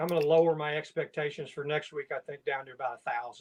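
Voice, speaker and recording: A man speaks in a Southern US accent. His pitch is fairly high, and his pace is very fast. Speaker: writing group member. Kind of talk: casual chat.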